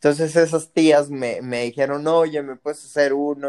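Dry and close with no echo, this recording features a man. His voice is fairly high and his pace fairly slow. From Mexico, Jalisco. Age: 20s. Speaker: small business owner. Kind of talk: casual chat. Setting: remote call. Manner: halting.

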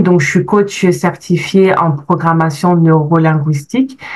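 This woman's fairly low voice moves with ordinary pitch variation. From France. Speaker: life coach. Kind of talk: testimony.

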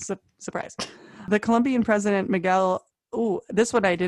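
In a natural reading voice with fairly even intonation, the speaker reads against a quiet background.

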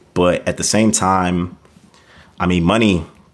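A man speaks in a very deep, low voice. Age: 30s. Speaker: podcast co-host, public health researcher. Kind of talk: casual chat.

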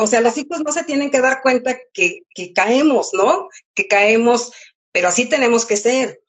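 Lively in intonation, a woman with a high pitch talks at a fairly slow pace. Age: 60s. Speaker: mother and grandmother, former shop owner. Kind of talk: casual interview.

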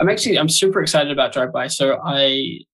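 With a New Zealand accent, a man speaks at a fairly quick pace in a fairly high pitch. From New Zealand, Auckland. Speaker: podcast co-host and podcaster. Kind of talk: casual chat.

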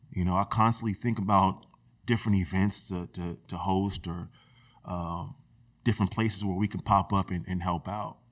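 Fairly even in intonation, a man speaks with a very deep, low pitch and an American accent. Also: moderate pace. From US West Coast, Sacramento area (California). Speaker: HVAC technician and community group founder. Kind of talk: casual interview conversation.

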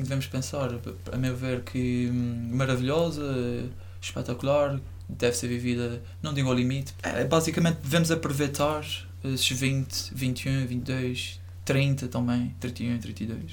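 A man's medium-pitched, lively voice at a fairly slow pace, with audible room echo and noticeable background noise. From Azores, São Miguel island (north coast). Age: 20s. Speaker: university student. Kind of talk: casual chat.

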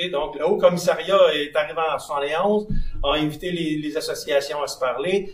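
Noticeable background noise surrounds a man with a fairly high pitch. He speaks at a moderate pace with fairly even intonation. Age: 60s. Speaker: sports federation president. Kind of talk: live podcast interview. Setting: live at a curling club.

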